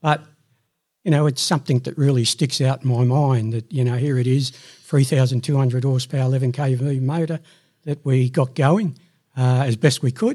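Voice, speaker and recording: An Australian-accented man at a moderate pace, somewhat breathy with a dark, mellow tone and fairly even intonation, in a very clean recording with a silent background. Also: medium pitch for a man. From Sydney, Australia. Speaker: retired electrical fitter and manager. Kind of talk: casual chat.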